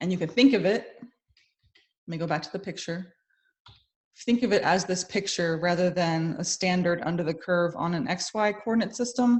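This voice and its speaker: A woman with a medium-pitched, somewhat breathy voice talks at a moderate pace with ordinary pitch variation. Her loudness swings widely, and she leaves long, frequent pauses. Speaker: math instructor. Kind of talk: lecture.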